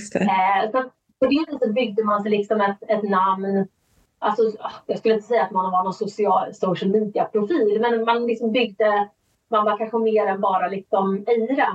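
With a normal speaking voice, a woman talks at a moderate pace in a fairly high pitch, her intonation fairly even and her loudness very even. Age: 40s. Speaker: author and audiobook narrator. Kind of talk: interview.

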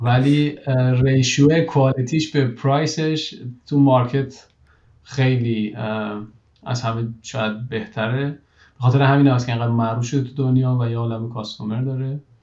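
Leaving long, frequent pauses, a man speaks at a moderate pace, somewhat breathy and with fairly even intonation. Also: medium pitch for a man. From Iran. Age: 30s. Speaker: engineering manager. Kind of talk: interview conversation.

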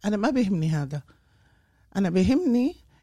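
A woman's dark, mellow voice at a medium pitch with lively intonation, on a very clean recording with a silent background. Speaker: community volunteer and mother. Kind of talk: casual interview.

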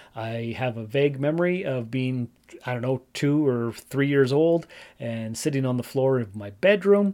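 Using a normal speaking voice in a Canadian accent, a man talks at a moderate pace and medium pitch with lively intonation. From Ontario, Canada. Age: 40s. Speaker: podcast host. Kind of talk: casual solo monologue.

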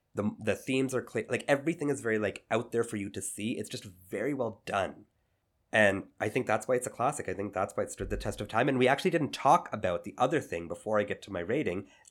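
A man speaks very fast with lively intonation in a very clean recording with a silent background. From Indian family background. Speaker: podcast co-host. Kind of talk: casual chat.

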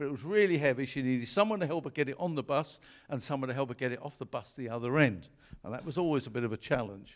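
A man's fairly high, lively voice at a very fast pace, on a very clean recording with a silent background. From Wales. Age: 70s. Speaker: guest preacher. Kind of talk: sermon. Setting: church with congregation.

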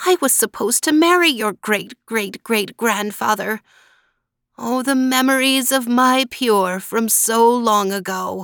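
A female-sounding, raspy, put-on character voice with a fairly high pitch. It moves at a fairly slow pace on a very clean recording, silent background.

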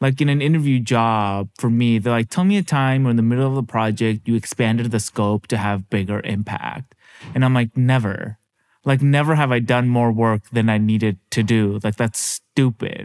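An ordinary speaking voice from a man with an American accent, medium in pitch at a moderate pace, with very even loudness and a dry, close sound with no echo on a very clean recording over a silent background. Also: ordinary pitch variation. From Seattle. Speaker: podcast host and stand-up comedian. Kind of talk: casual interview.

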